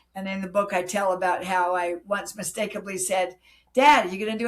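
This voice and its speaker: Music plays behind a woman speaking at a medium pitch. She talks at a fairly quick pace with ordinary pitch variation. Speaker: author. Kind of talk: interview.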